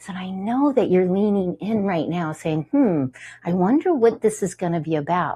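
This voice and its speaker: The woman's tone is dark and mellow. There is a somewhat breathy quality to it. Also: medium pitch for a woman, lively intonation, moderate pace. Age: 60s. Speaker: TV show host. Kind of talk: TV show monologue. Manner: animated; halting.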